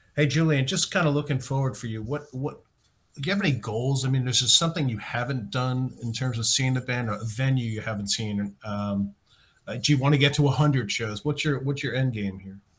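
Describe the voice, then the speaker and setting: An American-accented man talks at a fairly quick pace in a medium pitch, somewhat breathy, with ordinary pitch variation. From United States. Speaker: podcast host. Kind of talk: interview.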